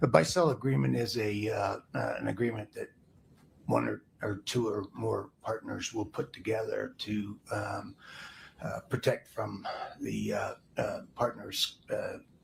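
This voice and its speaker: A quiet man at a fairly slow pace. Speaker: insurance and investment adviser, trial witness. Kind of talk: witness testimony. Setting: courtroom. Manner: halting, many fillers. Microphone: far from the mic.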